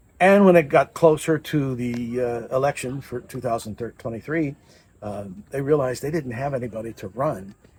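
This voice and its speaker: Somewhat breathy, the man's voice holds a medium pitch. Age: 60s. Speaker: political candidate. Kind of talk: interview storytelling.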